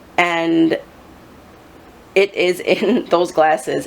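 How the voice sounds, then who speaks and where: Noticeable background noise fills the recording. A woman speaks over it. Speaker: psychic reader. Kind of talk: psychic reading video monologue. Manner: hesitant with many um fillers.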